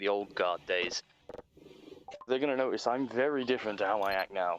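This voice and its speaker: Over noticeable background noise, a man talks fairly quickly at a fairly low pitch with ordinary pitch variation. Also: dry, close sound with no echo. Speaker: stream guest. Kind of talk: casual chat. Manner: calmer, less loud than before.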